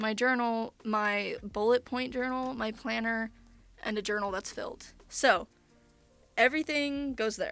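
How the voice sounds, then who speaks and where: A woman talks at a fairly slow pace with music in the background. Her pitch is fairly high, with ordinary variation. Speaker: content creator. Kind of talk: casual room tour talk to camera.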